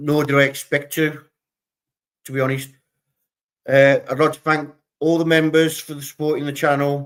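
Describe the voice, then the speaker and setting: The speaker talks at a moderate pace in a monotone, flat intonation, with long, frequent pauses and big swings in loudness. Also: man, fairly high pitch for a man. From England. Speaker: true crime livestream host. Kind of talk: live stream commentary. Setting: live stream with chat. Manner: hesitant, many fillers.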